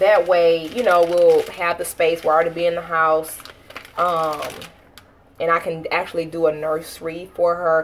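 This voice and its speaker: Over noticeable background noise, a speaker with an American accent talks at a moderate pace in a monotone, flat intonation. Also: woman, fairly low pitch for a woman. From Texas. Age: 30s. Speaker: family vlogger. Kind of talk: casual livestream chat with viewers.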